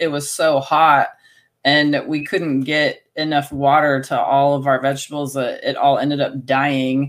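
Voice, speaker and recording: A woman's very deep, low voice at a fairly slow pace, flat and monotone in intonation. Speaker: homesteader and former teacher. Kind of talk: casual interview.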